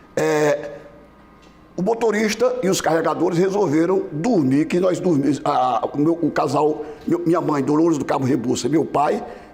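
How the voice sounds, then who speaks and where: Over noticeable background noise, a man talks at a moderate pace in a fairly high pitch with lively intonation and very even loudness. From Brazil, Mossoró, Rio Grande do Norte. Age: 70s. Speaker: former business association president. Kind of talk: TV interview. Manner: halting, many fillers and restarts.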